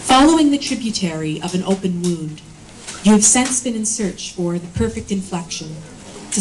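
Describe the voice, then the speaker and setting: Speech runs at a moderate pace with ordinary pitch variation. Noticeable background noise sits behind it. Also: woman. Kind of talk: poem reading. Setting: live reading at a bookshop event. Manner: solemn, somber, intense tone.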